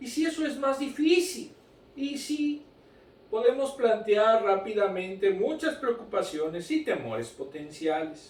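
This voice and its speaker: At an extremely high pitch with very wide swings, a man speaks at a fairly slow pace. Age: 60s. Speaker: Sunday school teacher. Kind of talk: Bible lesson. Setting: recorded broadcast.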